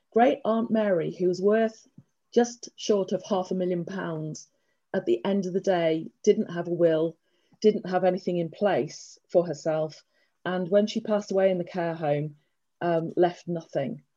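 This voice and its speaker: A woman with an English accent, speaking at a fairly slow pace in a dark, mellow tone. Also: medium pitch for a woman, ordinary pitch variation. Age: 50s. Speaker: estate planning lawyer. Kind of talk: presentation. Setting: video call.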